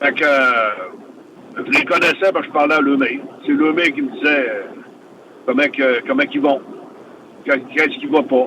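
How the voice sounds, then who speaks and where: A man with a Quebec accent at a moderate pace, against noticeable background noise. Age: 60s. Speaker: retired professional wrestler. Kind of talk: interview. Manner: halting.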